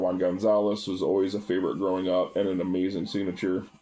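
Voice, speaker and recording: Over music in the background, a man talks at a very fast pace in a very deep, low voice with ordinary pitch variation. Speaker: baseball card collector. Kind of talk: casual chat.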